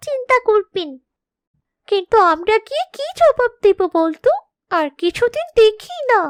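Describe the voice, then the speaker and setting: An extremely high-pitched, cartoonish character voice. It moves along at a moderate pace. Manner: soft, concerned.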